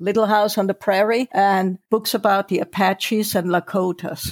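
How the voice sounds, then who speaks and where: In a German accent, a woman speaks at a fairly slow pace in a dry, close sound with no echo. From Germany. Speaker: novelist. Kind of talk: interview.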